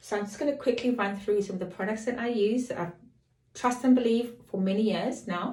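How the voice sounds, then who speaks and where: A woman speaks with a dark, mellow tone that is somewhat breathy and fairly high in pitch. Her pitch varies in an ordinary way, and she talks at a fairly quick pace. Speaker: lifestyle and fashion vlogger. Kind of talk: beauty tutorial. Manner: casual, chatty.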